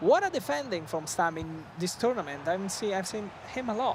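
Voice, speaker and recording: The speaker talks at a moderate pace with an Italian accent. Background noise is noticeable. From Italy. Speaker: esports commentator. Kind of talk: live commentary.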